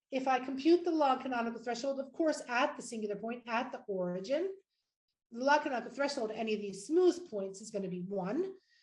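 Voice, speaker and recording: Amid audible room echo, a woman talks at a very fast pace and high pitch, with lively intonation and big swings in loudness. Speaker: mathematics professor. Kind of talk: lecture. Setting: virtual conference talk. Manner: hesitant fillers.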